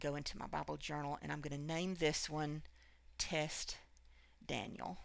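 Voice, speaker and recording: A woman speaks in a very deep, low voice. Her intonation is flat and monotone. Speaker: craft tutorial creator. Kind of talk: screen tutorial. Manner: fast; hesitant with many fillers.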